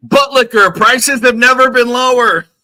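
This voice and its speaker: Shouting in a put-on character voice at an extremely high pitch, a man keeps a moderate pace and fairly even intonation. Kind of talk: loud ad-style. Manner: yelling.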